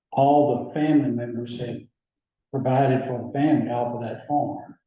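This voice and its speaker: In an Alabama accent, a man talks at a fairly slow pace in a somewhat breathy, dark, mellow voice with fairly even intonation. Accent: Southern US (Alabama). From US South, rural Alabama (Lowndes County). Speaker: judge. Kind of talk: oral history interview.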